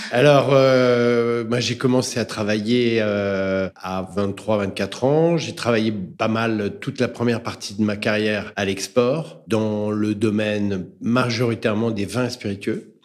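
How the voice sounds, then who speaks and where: A man with a medium pitch talks at a very slow pace with hardly any pauses. His pitch variation is ordinary, and there is noticeable background noise. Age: 60s. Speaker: entrepreneur and author, business coach. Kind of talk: interview.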